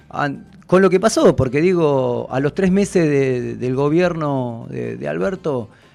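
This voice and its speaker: A man at a fairly slow pace with hardly any pauses. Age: 40s. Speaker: political candidate, union representative. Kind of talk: radio interview. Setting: radio studio. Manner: hesitant, many fillers.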